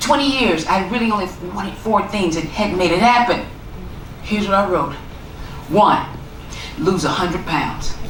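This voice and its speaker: Amid noticeable background noise and audible room echo, a woman with an American accent talks at a moderate pace and medium pitch, with ordinary pitch variation. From US South, Tennessee (small town). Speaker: author and motivational speaker. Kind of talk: keynote talk.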